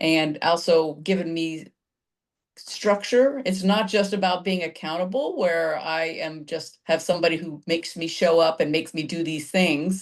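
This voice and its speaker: A woman with a plain, everyday voice, fairly low pitch, ordinary pitch variation and a moderate pace. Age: 60s. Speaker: fitness client, insurance broker. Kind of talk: testimonial interview.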